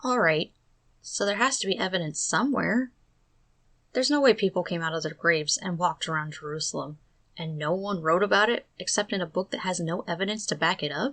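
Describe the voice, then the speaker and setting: A woman talks at a fairly quick pace in an ordinary speaking voice, medium in pitch, with lively intonation. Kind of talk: commentary narration.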